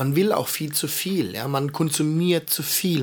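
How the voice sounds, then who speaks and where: This man talks very slowly. His voice sits fairly high. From Heidelberg, Baden-Württemberg. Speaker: podcast host. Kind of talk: casual chat.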